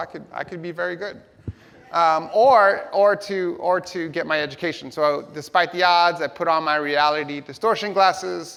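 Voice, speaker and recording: With a New York accent, a man speaks at a high pitch in an animated tone, moderate pace, ordinary pitch variation, and big swings in loudness. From New York City (Hell's Kitchen), US. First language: Spanish. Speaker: tech company education executive, keynote speaker. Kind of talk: keynote speech.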